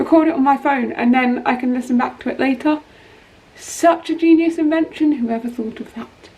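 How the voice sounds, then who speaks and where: The delivery has ordinary pitch variation and moves at a moderate tempo. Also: woman. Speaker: singer-songwriter YouTuber. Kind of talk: casual vlog talk. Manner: chatty, casual.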